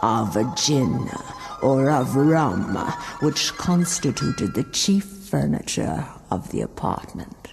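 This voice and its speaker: A very slow pace at a low-to-middle pitch, with faint music in the background. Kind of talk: gothic horror reading. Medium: read story. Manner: measured, somber.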